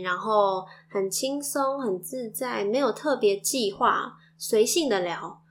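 A woman speaks at a fairly high pitch with ordinary pitch variation. Music plays in the background. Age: young. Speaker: podcast host, mother. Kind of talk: casual monologue.

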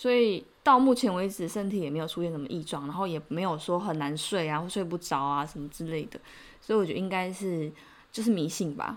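In a plain, everyday voice, a woman with a fairly low pitch talks at a fairly quick pace with lively intonation. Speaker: podcast host, Korean translator. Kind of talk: casual chat.

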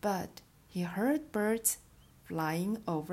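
Someone is reading aloud in a natural voice, the pitch shifting in an ordinary way.

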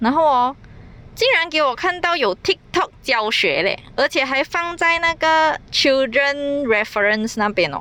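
Delivered at a fairly slow pace, the speech has lively intonation. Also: woman. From Malaysia. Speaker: podcaster. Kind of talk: casual solo podcast monologue.

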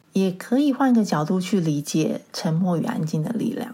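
Her tone is dark, mellow and somewhat breathy. The woman speaks at a medium pitch with lively intonation. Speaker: podcast host. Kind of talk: solo podcast monologue. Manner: relaxed, less rushed than before.

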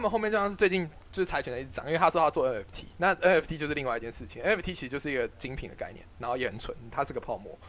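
Talking very fast with hardly any pauses, a man uses a high voice and big swings in loudness. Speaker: podcast host, student investor. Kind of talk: casual chat.

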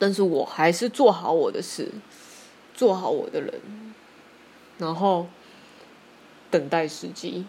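A woman speaks at a fairly slow pace with long, frequent pauses. Her loudness swings widely. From Taiwan. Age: 30s. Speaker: podcaster. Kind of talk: solo monologue. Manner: halting, many fillers.

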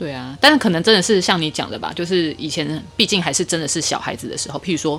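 Over background music, a woman with a Taiwanese accent and a fairly low pitch speaks at a very fast pace with hardly any pauses, ordinary pitch variation and big swings in loudness. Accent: Taiwanese Mandarin. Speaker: guest sharing personal story. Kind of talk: casual chat.

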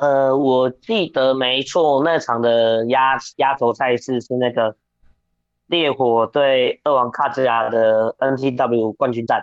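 Speaking at a very slow pace, a man keeps a medium pitch, fairly even intonation and very even loudness. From Taiwan, New Taipei. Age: 20s. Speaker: professional wrestler. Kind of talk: interview.

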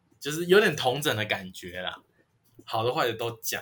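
A man's lively intonation comes through as he talks at a moderate speed. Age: 20s. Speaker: podcaster, college student. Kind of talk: casual chat.

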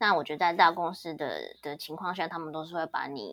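Very deep, low pitch from a woman, delivered at a moderate pace. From Taiwan. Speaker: cloud support engineer. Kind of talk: casual interview chat.

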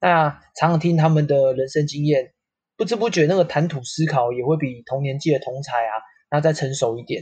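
This man's voice is fairly high-pitched and somewhat breathy. He moves at a moderate pace with ordinary pitch variation. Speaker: real estate company staff. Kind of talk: casual chat. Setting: online call.

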